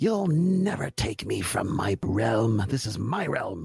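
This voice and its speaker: Faint music plays behind a man's raspy, put-on character voice at a medium pitch and a fairly slow pace. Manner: defiant.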